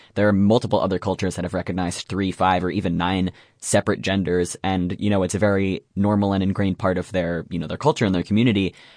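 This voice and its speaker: A man's very deep, low voice at a very fast pace, in a monotone, flat intonation. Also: quiet background. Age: young. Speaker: college student, youth radio participant. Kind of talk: casual conversation about gender identity. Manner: hesitant with fillers.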